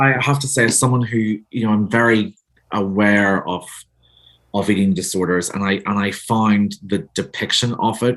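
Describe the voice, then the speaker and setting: A man with a Northern Irish accent speaks at a moderate pace, his pitch fairly low and his intonation fairly even. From Northern Ireland. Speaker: author. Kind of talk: interview.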